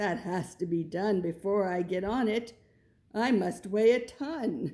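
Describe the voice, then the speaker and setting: In a very clean recording with a silent background, a woman uses a put-on character voice at medium pitch and a fairly slow pace. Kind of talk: bedtime story. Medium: read story. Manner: gentle, earnest.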